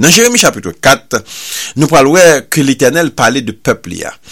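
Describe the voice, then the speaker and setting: At a moderate pace, a man's voice swings very widely in pitch. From Haiti. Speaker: radio preacher. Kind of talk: sermon.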